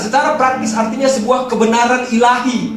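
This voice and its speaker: An animated man's voice with audible room echo and music in the background. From Medan, North Sumatra, Indonesia. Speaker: youth pastor. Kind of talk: sermon. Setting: church stage with audience.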